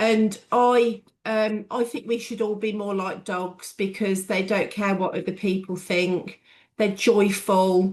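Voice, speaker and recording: Speaking at a very slow pace, a woman with a Warwickshire accent keeps a medium pitch and fairly even intonation. The background is quiet. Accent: proper Bedworth. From Bedworth, English Midlands. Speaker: business owner. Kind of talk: group discussion.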